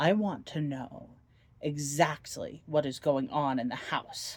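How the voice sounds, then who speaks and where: Someone uses a put-on character voice at a low-to-middle pitch, speaking at a fairly slow pace. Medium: read story. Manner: menacing, cold.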